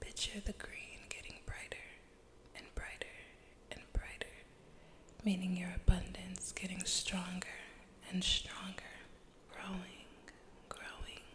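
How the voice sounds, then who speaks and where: There are big swings in loudness as a woman whispers at a fairly slow pace, with long, frequent pauses and noticeable background noise. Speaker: ASMR artist. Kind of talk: ASMR affirmations. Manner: whispered, soft-spoken.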